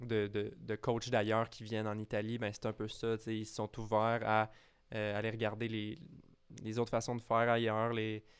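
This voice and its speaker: A man with a Quebec accent and a medium pitch speaks at a moderate pace in a monotone, flat intonation, in a very clean recording with a silent background. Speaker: tennis podcast co-host. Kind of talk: casual chat.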